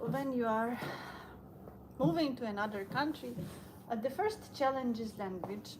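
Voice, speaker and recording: A woman with a high-pitched voice speaks in a Ukrainian accent. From Ukraine. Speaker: vlogger. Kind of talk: casual live stream monologue while walking. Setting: outdoors on a walk, snowing. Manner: halting, many fillers.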